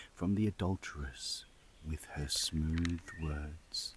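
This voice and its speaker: A soft-spoken man talks at a very slow pace. His voice is somewhat breathy, with fairly even intonation. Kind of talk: scripture reading. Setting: outdoors.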